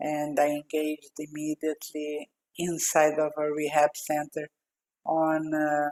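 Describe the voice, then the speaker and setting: A woman with a Brazilian accent speaks in a very deep, low pitch at a fairly slow pace. Her intonation is monotone and flat, and the sound is dry and close, with no echo. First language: Portuguese. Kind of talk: podcast interview. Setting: video call.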